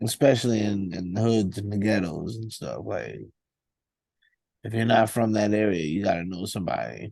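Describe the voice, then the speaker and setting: A man with a New York accent, a fairly low pitch and a dark, mellow tone, at a moderate pace with ordinary pitch variation. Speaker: rapper. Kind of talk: casual interview.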